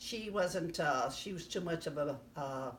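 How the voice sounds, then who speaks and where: In a US Midwestern accent, a woman with a fairly low pitch talks at a fairly slow pace with lively intonation, and audible room echo surrounds her voice. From US Midwest, southern Illinois. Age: 80s+. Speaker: grandmother interviewee. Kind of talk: casual life-story interview. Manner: halting, many fillers.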